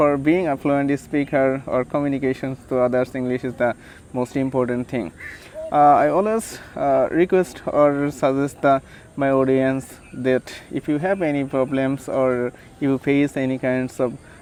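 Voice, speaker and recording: Behind noticeable background noise, a man with a fairly high pitch and ordinary pitch variation talks at a fairly slow pace. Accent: Bengali. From Bangladesh. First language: Bengali. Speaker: English tutor vlogger. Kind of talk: casual vlog advice. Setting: outdoors by a river. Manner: halting, many fillers.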